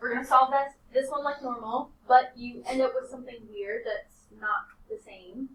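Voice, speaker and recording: Here a woman speaks in a high voice. Her intonation stays fairly even. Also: big swings in loudness. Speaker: high school math teacher. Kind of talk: classroom lesson. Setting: classroom.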